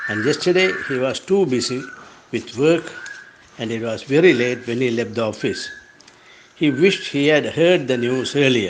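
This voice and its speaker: Over noticeable background noise, a man with a Sri Lankan accent speaks at a moderate pace in a medium pitch, with lively intonation and long, frequent pauses. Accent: Sri Lankan Tamil. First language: Tamil. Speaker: writer. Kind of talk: reading aloud.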